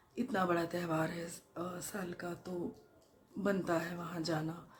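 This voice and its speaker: A woman's fairly low-pitched voice with fairly even intonation, against noticeable background noise. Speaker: vlogger. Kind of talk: casual vlog talk. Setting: at home. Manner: hesitant, with fillers.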